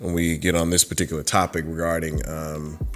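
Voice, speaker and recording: Delivery is at a moderate pace with fairly even intonation. Music plays in the background. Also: man. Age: 30s. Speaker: YouTuber discussing anime and fandom. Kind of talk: casual vlog monologue. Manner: halting, many fillers.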